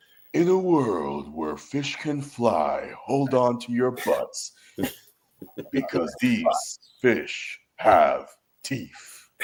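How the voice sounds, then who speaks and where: A man puts on a dramatic character voice and speaks at a very slow pace. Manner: epic, dramatic delivery.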